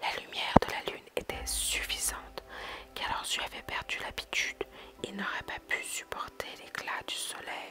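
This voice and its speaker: A fairly slow whisper, noticeable background noise underneath. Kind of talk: whispered ASMR story reading. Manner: whispered.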